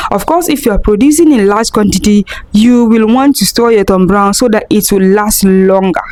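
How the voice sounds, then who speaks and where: This woman has a fairly high pitch, lively intonation and very even loudness at a moderate pace. Noticeable background noise runs underneath. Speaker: food business vlogger. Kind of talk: tutorial. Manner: soft-spoken.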